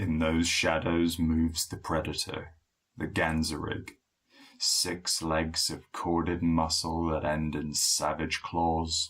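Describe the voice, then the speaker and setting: A man uses a put-on character voice with a very deep, low pitch and a resonant sound. He speaks at a fairly slow pace in a monotone, flat intonation. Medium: read story. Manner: measured, grave, economical.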